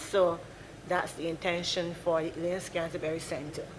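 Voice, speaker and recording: This woman's pitch sits fairly low. She talks at a fairly quick pace over noticeable background noise. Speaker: civil servant. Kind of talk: parliamentary answer. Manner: fast.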